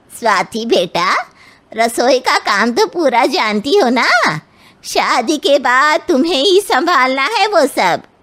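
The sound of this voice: In a cartoonish character voice, a woman speaks at a high pitch with very wide pitch swings. Her pace is fairly slow and her loudness stays very even.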